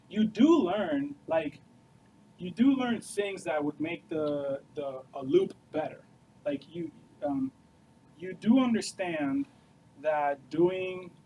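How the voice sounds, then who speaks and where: A man with a high pitch and a dark, mellow tone speaks very slowly, with long, frequent pauses. His intonation is lively and his loudness swings widely. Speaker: software developer and studio co-founder. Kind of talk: Q&A talk to students. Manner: casual, filler-heavy.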